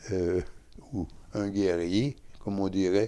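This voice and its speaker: Very slowly, a man speaks in a fairly low pitch with a dark, mellow tone. The recording is very clean, and the background is silent. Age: 80s+. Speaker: Franciscan friar. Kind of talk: interview. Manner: halting.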